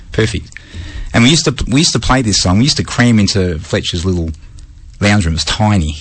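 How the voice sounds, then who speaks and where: A man's fairly low voice at a very fast pace, very even in loudness, with lively intonation and long, frequent pauses. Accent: Australian. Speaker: radio host. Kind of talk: casual chat. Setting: radio studio.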